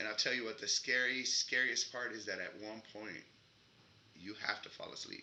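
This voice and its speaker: Here a man talks with a Mexican accent. His pace is moderate. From Mexico, Ciudad Juarez, Chihuahua. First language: Spanish. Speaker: actor. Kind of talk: interview. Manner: conversational.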